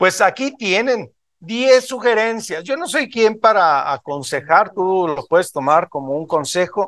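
The background stays quiet. A man speaks with very wide pitch swings. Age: 50s. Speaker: motivational speaker at a business event; motivational speaker. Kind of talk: motivational talk to a live audience. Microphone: video call.

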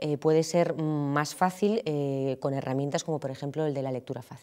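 A woman's voice has a dark, mellow tone. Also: quiet background. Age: 30s. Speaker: journalist and reading advocate; journalist. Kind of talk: interview testimony. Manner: hesitant with fillers. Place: hall.

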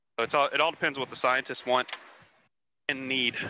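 With an American accent, a man speaks in a bright, sharp tone and monotone, flat intonation, with a dry sound, no echo and light background noise. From Texas (Houston); Texas. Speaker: ROV pilot. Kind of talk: casual chat. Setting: video call. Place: boat. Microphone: headset.

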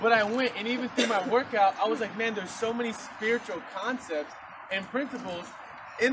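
A man speaks in a high voice with ordinary pitch variation. His pace is fairly quick, and noticeable background noise is present. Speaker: preacher. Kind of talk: sermon. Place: garden. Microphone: camera far.

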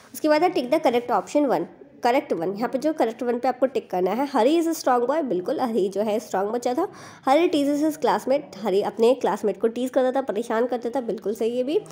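This woman's high-pitched voice carries lively intonation. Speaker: teacher explaining school worksheets. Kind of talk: tutorial.

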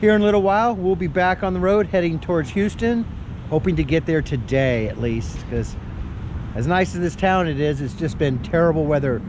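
A man speaks at a fairly quick pace with a dry sound with no echo, over noticeable background noise. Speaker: RV traveler vlogger. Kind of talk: casual vlog chat. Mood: relaxed, grateful. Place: street. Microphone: phone near.

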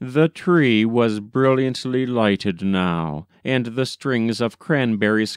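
An unforced reading voice, its pitch varying in an ordinary way.

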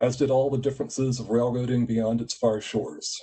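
A man speaks with an American accent in a dark, mellow tone. His voice is somewhat breathy and his pace fairly quick. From US, West Virginia. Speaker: executive director of a photography nonprofit; conference host, presenter. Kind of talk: conference presentation. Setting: online video conference. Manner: formal. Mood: warm, reflective. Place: home room. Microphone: video call.

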